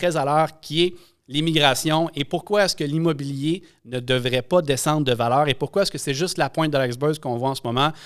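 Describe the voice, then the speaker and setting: This man talks at a fairly quick pace, his fairly high pitch showing ordinary variation. The recording is very clean and the background silent. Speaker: podcast host, real estate broker. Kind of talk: episode intro monologue; podcast interview.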